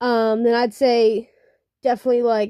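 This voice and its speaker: In a very clean, dry, close recording with no echo and a silent background, a woman speaks at a fairly slow pace with a fairly high pitch and a dark, mellow tone. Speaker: digital artist. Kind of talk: casual draw-with-me commentary. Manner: halting, many fillers; unscripted, casual.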